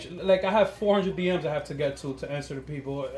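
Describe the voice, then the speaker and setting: With noticeable background noise behind him, a man speaks very fast and his pitch varies in an ordinary way. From Queens, New York, Dominican family. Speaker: Instagram comedian. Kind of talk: casual chat, podcast interview.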